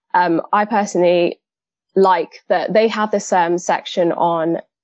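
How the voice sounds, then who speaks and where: Her unremarkable speaking voice sits at a medium pitch as this woman talks at a fairly slow pace. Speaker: fashion merchandiser and aspiring designer. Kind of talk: casual discussion.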